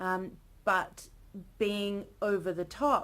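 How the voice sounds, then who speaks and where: A woman with an Australian accent speaks at a medium pitch. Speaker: early career academic vlogger. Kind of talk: casual vlog monologue. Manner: animated.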